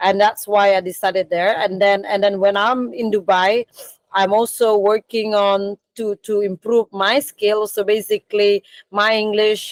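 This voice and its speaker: A woman speaks at a fairly slow pace with monotone, flat intonation. The sound is dry and close, with no echo. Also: medium pitch for a woman. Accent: Balinese. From Bali, Indonesia. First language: Indonesian / Balinese. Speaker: coffee business founder. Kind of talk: career talk in online meeting. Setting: video call from storage room. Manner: halting, many fillers.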